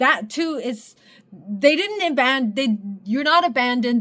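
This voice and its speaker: A woman with a non-native accent speaks at a high pitch and a fairly slow pace. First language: not English. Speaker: spiritual content creator, sociology student. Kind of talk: casual monologue to viewers. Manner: halting, many fillers and restarts.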